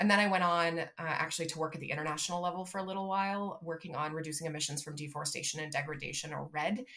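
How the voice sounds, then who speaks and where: Over noticeable background noise, a woman speaks at a very fast pace with hardly any pauses, a fairly low pitch and fairly even intonation. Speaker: city sustainability director. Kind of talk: interview.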